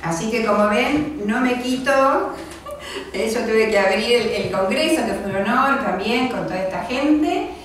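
Amid light background noise and strong room echo, a woman with a fairly high pitch speaks at a fairly slow pace with lively intonation and hardly any pauses. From Argentina, Quilmes (Buenos Aires). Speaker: library director. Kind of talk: lecture. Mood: warm, grateful. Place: meeting room.

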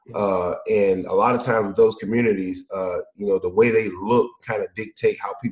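In a Mississippi accent, a man talks at a fairly quick pace. The sound is dry and close, with no echo. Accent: Southern US (Mississippi). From US South, Mississippi. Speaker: former pro football player, founder of education company. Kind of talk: casual interview chat.

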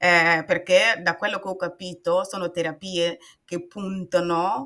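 A woman speaks very slowly in a bright, sharp tone at a fairly low pitch. Her intonation is monotone and flat. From Burkina Faso. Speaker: patient and author. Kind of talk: personal testimony in interview. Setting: video call. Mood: calm, personal storytelling. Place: home room.

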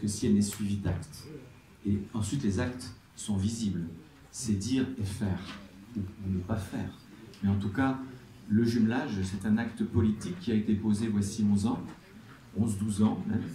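A man's fairly low, somewhat breathy voice, dark and mellow, at a moderate pace with fairly even intonation and long, frequent pauses. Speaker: mayor, closing speaker. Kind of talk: formal speech.

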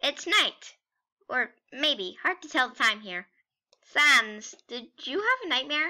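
A woman's put-on character voice, high in pitch, at a fairly slow pace with long, frequent pauses. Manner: excitable, booming, proud.

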